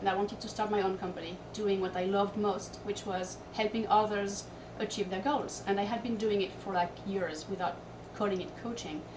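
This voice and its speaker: Amid noticeable background noise and audible room echo, a woman speaks at a medium pitch and a moderate pace with fairly even intonation. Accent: Corsican. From Corsica. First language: French. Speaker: fitness and lifestyle coach. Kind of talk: interview. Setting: hotel room.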